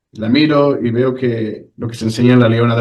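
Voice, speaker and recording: A man speaks at a medium pitch with a Spanish accent and fairly even intonation. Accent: Spanish (Spain). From Spain. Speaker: ex-church member telling his story. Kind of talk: interview testimony. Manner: halting, with many repetitions.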